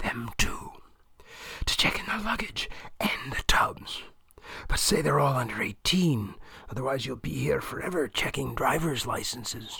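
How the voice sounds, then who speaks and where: Whispering in a raspy, put-on character voice, the speaker moves at a moderate pace with long, frequent pauses. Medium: read story. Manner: curt, blunt, no greetings.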